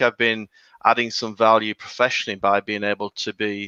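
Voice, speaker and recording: A man with a northern English accent, a fairly low pitch and a bright, sharp tone at a fairly quick pace, in a dry, close sound with no echo. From northern England. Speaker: HR consultancy founder. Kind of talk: podcast interview. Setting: live video podcast.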